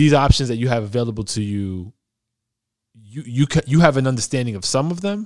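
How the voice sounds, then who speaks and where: A man talks at a fairly quick pace in a normal speaking voice, pitched in the medium range. The recording is very clean, with a silent background. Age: 30s. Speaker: podcast host. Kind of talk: casual interview. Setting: recording in the Bronx.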